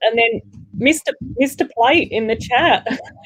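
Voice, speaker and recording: Speaking at a moderate pace with an Australian accent, a woman uses lively intonation at a high pitch. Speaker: livestream co-host reading chat. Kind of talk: casual livestream chat.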